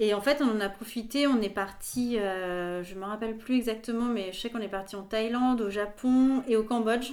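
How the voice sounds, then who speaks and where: Speaking at a moderate pace with hardly any pauses, a woman holds fairly even intonation at a fairly high pitch. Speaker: journalist and podcaster. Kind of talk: casual interview chat. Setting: recorded at her home.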